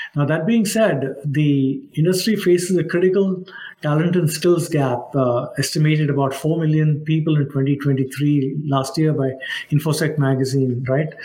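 Noticeable background noise sits behind a man with a fairly high pitch and ordinary pitch variation. He keeps a moderate pace and very even loudness. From India (Mumbai). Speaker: cybersecurity executive. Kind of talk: interview.

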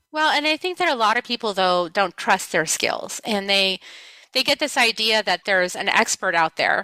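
A woman speaks in a normal speaking voice at medium pitch and a moderate pace, the sound dry and close with no echo. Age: 50s. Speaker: spiritual healer and author. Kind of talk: casual interview chat.

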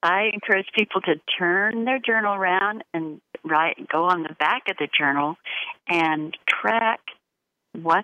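Fairly slow, medium-pitched speech from a woman, the pitch varying in an ordinary way. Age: 60s. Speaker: author and healer. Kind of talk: interview. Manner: halting.

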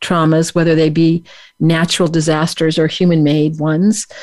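Woman with an ordinary speaking voice, fairly low in pitch and fairly quick in pace. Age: 60s. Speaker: radio show host. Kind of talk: interview. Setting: radio studio, live-streamed on Facebook.

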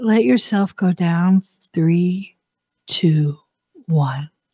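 A woman's medium-pitched, somewhat breathy voice, dark and mellow in tone, calm and soothing, with ordinary pitch variation. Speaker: spiritual talk show host. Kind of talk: guided meditation. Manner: slow, soothing, soft-spoken; calm, hypnotic countdown pacing.

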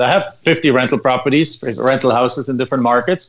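A man with a German accent talks at a fairly quick pace. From Germany. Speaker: land investor. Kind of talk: radio interview.

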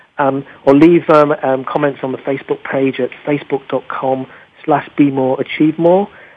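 A man's fairly high pitch with a slightly husky edge and fairly even intonation.

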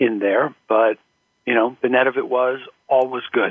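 Speaking at a moderate pace and medium pitch, a man has a normal speaking voice. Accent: American. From US, Philadelphia and California. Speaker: professional association board chair. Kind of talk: interview.

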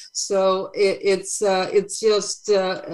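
A woman speaks with a Swedish accent. Her pitch sits in the medium range. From Sweden. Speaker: brand photographer. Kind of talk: interview. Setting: video call. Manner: halting.

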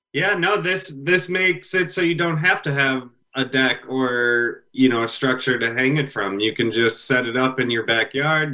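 A man's fairly high voice with a bright, sharp tone. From US Midwest, Illinois (Palatine). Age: 30s. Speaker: furniture business owner. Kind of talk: interview.

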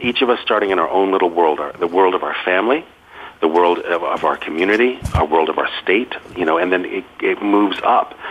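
Speaking at a fairly quick pace with an American accent, a man uses a very deep, low pitch and ordinary pitch variation over noticeable background noise. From Massachusetts, US. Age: 50s. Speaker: author and food writer. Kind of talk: radio interview.

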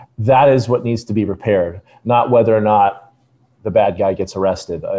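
A very fast-talking man with an American accent, medium pitch, a dark, mellow tone and ordinary pitch variation. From Los Angeles. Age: 40s. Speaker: cybersecurity consultant, former Secret Service agent. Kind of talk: interview.

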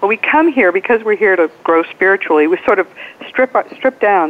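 A woman's lively intonation against noticeable background noise. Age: 70s. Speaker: attorney and afterlife author. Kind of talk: interview. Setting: phone call.

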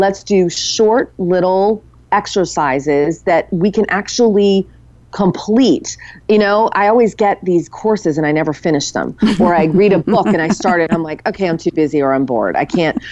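A woman speaks at medium pitch and a moderate pace, with ordinary pitch variation and very even loudness. She has an unremarkable speaking voice against a quiet background. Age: 40s, turning 50. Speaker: author and women's community founder. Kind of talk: interview.

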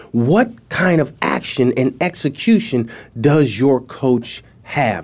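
A man speaks with lively intonation at a medium pitch. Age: 40s. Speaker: productivity coach and speaker. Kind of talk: interview. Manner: animated.

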